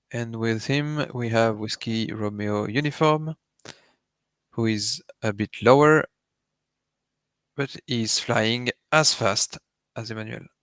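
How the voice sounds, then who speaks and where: A man with a French accent at a very slow pace, fairly even intonation, and a dry, close sound with no echo. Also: very clean recording, silent background. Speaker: live race commentator. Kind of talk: live commentary. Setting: live stream.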